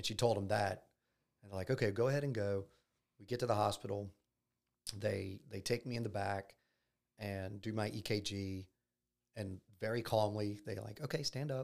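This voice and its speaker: Someone with a Louisiana accent speaks at a moderate pace with fairly even intonation and long, frequent pauses. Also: man, fairly low pitch for a man. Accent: Louisiana Southern US. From US South, Baton Rouge, Louisiana. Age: 40s. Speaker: heart attack survivor, real estate business owner. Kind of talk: personal testimony in interview.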